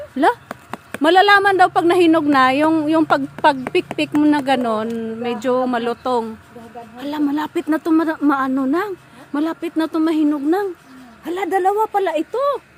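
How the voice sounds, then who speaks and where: With an excited, animated tone and lively intonation, a high-pitched woman speaks over noticeable background noise. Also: moderate pace. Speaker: vlogger. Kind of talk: casual vlog talk while touring a garden.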